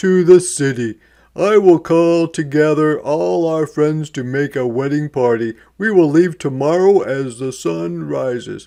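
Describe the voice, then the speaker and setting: In a put-on character voice, a man with a fairly high pitch talks at a fairly slow pace with ordinary pitch variation over a quiet background. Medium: read story. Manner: dignified, measured.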